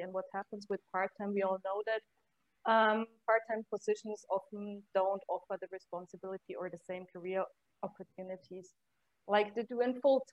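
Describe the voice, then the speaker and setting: At a moderate pace and medium pitch, a woman with an ordinary speaking voice keeps her intonation fairly even, recorded with a dry, close sound and no echo. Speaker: university career center staffer. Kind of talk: casual interview chat.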